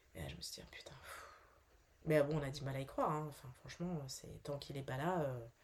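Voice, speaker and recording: Speaking at a fairly quick pace, a woman leaves long, frequent pauses and swings widely in loudness. Noticeable background noise runs underneath. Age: 40s. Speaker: actress, bereaved mother. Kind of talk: testimony. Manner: halting, many hesitations.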